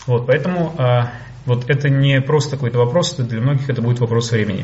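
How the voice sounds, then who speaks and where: Through noticeable background noise and audible room echo, a man talks at a medium pitch with fairly even intonation. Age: 30s. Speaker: business coach. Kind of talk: webinar lecture.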